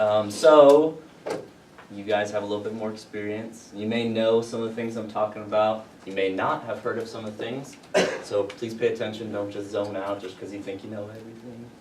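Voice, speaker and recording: In an American accent, a man speaks at a fairly quick pace with a fairly low pitch and fairly even intonation, with audible room echo and noticeable background noise. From Louisiana, US South. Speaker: university security staff giving briefing. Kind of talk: safety briefing to students. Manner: casual, filler-heavy; can speed up.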